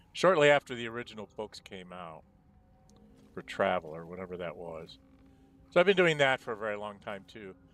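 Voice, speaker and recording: With music in the background, a man talks at a fairly quick pace with medium pitch and very wide pitch swings. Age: 60s. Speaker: gaming streamer, retired programmer. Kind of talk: casual gameplay commentary.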